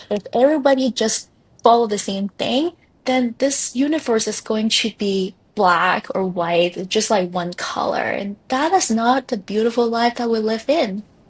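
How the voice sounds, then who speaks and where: Speaking with a non-native accent, a woman has a fairly high pitch and a somewhat breathy sound. She talks at a fairly slow pace with ordinary pitch variation. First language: not English. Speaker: life coach. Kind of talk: podcast interview.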